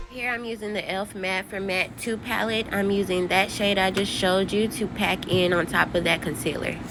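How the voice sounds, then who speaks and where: Against music in the background, a woman with a medium pitch talks at a fairly quick pace with hardly any pauses and fairly even intonation. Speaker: beauty vlogger. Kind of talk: makeup tutorial talk. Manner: casual, chatty.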